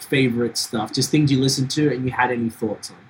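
A man speaks against noticeable background noise. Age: 40s. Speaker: podcast host. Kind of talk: casual chat. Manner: animated.

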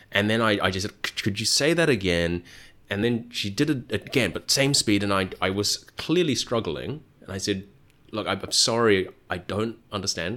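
A man with a normal speaking voice talks at a fairly low pitch with ordinary pitch variation in a very clean recording with a silent background. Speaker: podcast host and Vietnamese learner. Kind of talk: casual interview.

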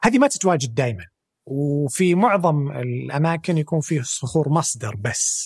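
At a fairly slow pace, a man with a fairly high pitch speaks in a somewhat breathy voice with lively intonation. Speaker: energy sector specialist. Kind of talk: interview.

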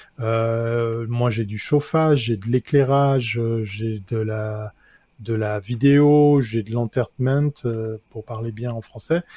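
A man speaks at a very slow pace with a dark, mellow tone and fairly even intonation. The very clean recording has a silent background and a dry, close sound with no echo. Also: medium pitch for a man. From Switzerland. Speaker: tech columnist, advertising awards presenter. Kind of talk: casual chat.

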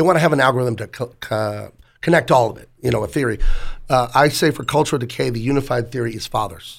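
Speaking at a very fast pace, a man with a medium pitch, ordinary pitch variation, vocal fry and big swings in loudness is heard on a very clean recording with a silent background. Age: 40s. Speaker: comic book artist. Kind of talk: casual chat. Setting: studio.

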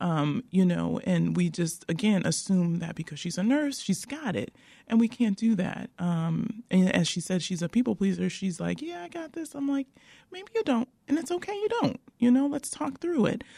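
With an American accent, the voice has a dark, mellow tone, sounds somewhat breathy and moves through very wide pitch swings. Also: woman, medium pitch for a woman, moderate pace. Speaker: nurse-midwife. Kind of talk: radio interview.

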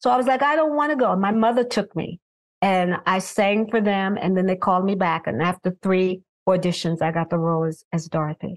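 With a New York accent, a woman talks at a fairly quick pace, her medium-pitched voice full of lively intonation. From Brooklyn, New York. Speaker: singer. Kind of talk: casual chat.

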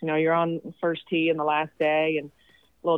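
Her voice is very deep and low, with monotone, flat intonation. The woman keeps a moderate pace. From Sweden. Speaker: college golf coach. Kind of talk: interview. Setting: phone call.

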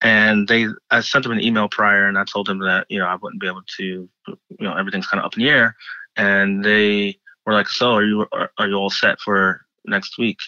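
A man with an American accent speaks at a fairly quick pace. His pitch is fairly low and his intonation monotone and flat. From Philadelphia, US. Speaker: chef. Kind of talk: interview. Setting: remote call from bedroom at home. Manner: halting, with frequent repetitions.

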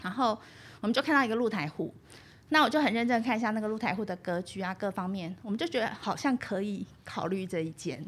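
Somewhat breathy and fairly high, a woman speaks at a very fast pace with lively intonation. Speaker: university radio instructor and podcast host. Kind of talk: interview. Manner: fluent.

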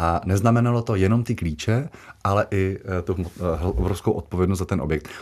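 The recording is very clean, with a silent background. A man with a very deep, low pitch speaks at a fairly quick pace with very even loudness. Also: ordinary pitch variation. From Czechia, Moravia (Jaroměřice nad Rokytnou). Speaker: castle custodian. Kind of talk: radio interview.

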